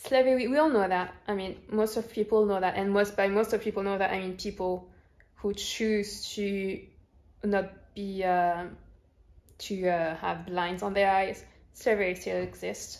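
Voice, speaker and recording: The speaker has a slight French accent and fairly even intonation. The pace is fairly slow. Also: woman, medium pitch for a woman. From France. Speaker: YouTuber, movie reviewer. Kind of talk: casual vlog review. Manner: hesitant, many fillers.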